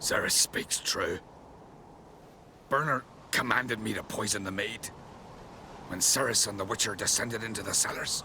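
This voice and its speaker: Using a put-on character voice at a medium pitch, a man speaks at a moderate pace with fairly even intonation, long, frequent pauses and clear background noise. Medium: video game.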